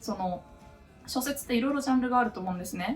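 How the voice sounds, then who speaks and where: A woman speaks with lively intonation. Music plays in the background. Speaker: novelist and office worker. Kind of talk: casual Q&A talk to camera. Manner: laughing, otaku-style talk.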